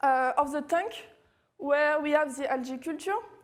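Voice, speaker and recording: A woman speaks with a French accent in a high pitch. Her pace is moderate and her pitch varies in an ordinary way. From France. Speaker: machine learning researcher. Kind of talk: technical talk. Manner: halting, many fillers.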